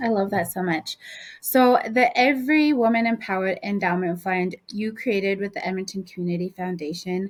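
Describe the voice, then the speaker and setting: A woman speaks at medium pitch and a moderate pace. Hers is an unremarkable speaking voice with ordinary pitch variation. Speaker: podcast host, executive director. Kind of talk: interview question.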